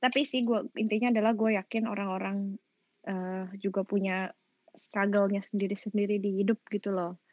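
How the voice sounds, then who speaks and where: At a moderate pace, a woman with a West Javanese accent and medium pitch speaks in a dry, close sound with no echo. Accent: Sundanese-inflected Indonesian. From West Java (Sundanese region), Indonesia. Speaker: podcast guest, former entertainer and gamer. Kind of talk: casual chat. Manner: talkative, lively.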